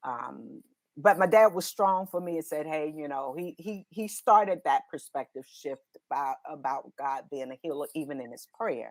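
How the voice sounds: A woman speaks at a fairly slow pace with a low pitch. Her pitch varies in an ordinary way.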